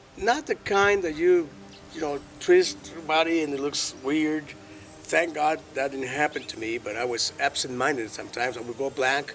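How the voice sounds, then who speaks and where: A fairly high-pitched man's voice with music in the background. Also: ordinary pitch variation, moderate pace. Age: 60s. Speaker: alternative health practitioner. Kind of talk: personal testimony in interview. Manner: halting, with fillers and repetitions.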